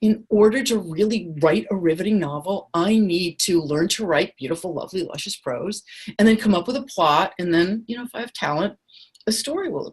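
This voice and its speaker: A woman speaks at a fairly quick pace in an animated, somewhat breathy tone. Her intonation is lively, and her loudness swings widely. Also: medium pitch for a woman. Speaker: writing teacher and author. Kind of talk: workshop lecture on a group call. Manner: fast.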